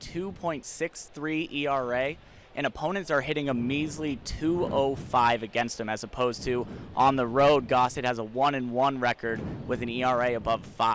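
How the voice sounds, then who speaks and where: The pace is moderate and the pitch varies in an ordinary way in an unremarkable speaking voice. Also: man. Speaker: baseball sideline reporter and play-by-play announcer. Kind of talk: sideline reporter report to the broadcast booth. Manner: conversational, informative.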